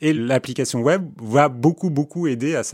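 A fairly high-pitched man on a very clean recording with a silent background, in a dry, close sound with no echo. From born in Istanbul, Turkey. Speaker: neurobiologist. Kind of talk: interview.

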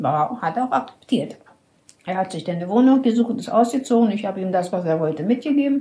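Breathy to a degree, a woman speaks at a very fast pace in a medium pitch, her voice making very wide pitch swings. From Berlin. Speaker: elderly woman telling her life story. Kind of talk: life story interview. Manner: halting, with hesitations.

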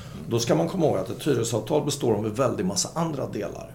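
A man's lively intonation amid audible room echo. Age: 60s. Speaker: shopping-centre property executive, former retailer. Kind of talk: podcast interview.

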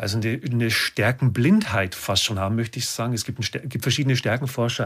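This man talks at a fairly quick pace in a medium pitch, with ordinary pitch variation and a somewhat breathy quality. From Lower Bavaria, Germany. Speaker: business coach and speaker. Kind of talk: casual interview chat. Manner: animated.

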